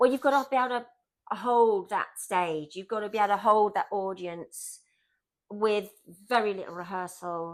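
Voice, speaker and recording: With a very clean recording and a silent background, a woman at a medium pitch talks at a moderate pace, her pitch varying in an ordinary way and her loudness swinging widely. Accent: southern English. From southern England, Southampton area. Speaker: stage actress. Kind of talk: casual chat. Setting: at home on the couch.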